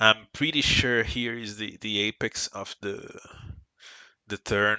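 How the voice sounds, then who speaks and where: A man with a Brazilian Portuguese accent speaks at a fairly slow pace. His pitch is fairly low and his intonation fairly even. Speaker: sim racing team member. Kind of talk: tutorial. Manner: halting.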